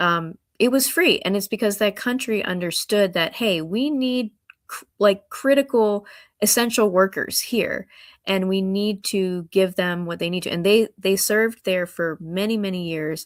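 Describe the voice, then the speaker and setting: A woman talks at a fairly slow pace in a plain, everyday voice, medium in pitch with ordinary pitch variation. The recording is very clean, with a silent background. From Hampton Roads, Virginia. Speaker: congressional candidate, doctor and lawyer. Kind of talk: interview.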